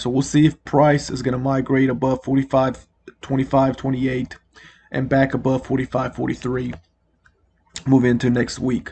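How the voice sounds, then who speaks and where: A man speaks at a moderate pace and medium pitch, his intonation flat and monotone. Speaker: trading analyst video creator. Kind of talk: market analysis commentary. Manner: casual with frequent fillers.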